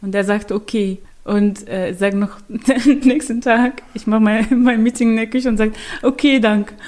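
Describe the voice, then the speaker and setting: A woman with an Arabic accent speaks at a fairly high pitch and a moderate pace, her intonation fairly even. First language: Arabic (speaking German). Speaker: prevention project worker. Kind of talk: casual chat. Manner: halting.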